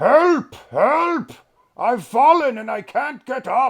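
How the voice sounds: A put-on character voice, gruff and high-pitched, speaks at a very slow pace.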